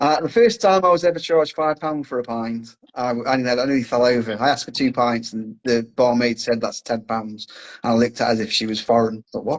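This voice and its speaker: Fairly quick speech from a man with an English accent, medium pitch, ordinary pitch variation and hardly any pauses. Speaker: podcast host. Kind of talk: casual chat.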